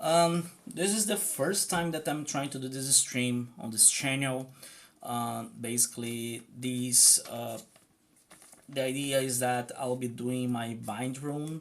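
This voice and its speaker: Very slow speech in a Portuguese accent. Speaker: streamer and rune practitioner. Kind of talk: live stream casual talk while drawing. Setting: live stream. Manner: hesitant, many fillers.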